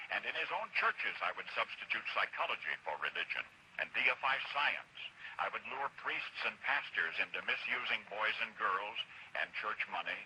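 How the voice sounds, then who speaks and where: There is noticeable background noise behind a man speaking. He has an American accent and a moderate pace. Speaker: radio broadcaster. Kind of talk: radio commentary.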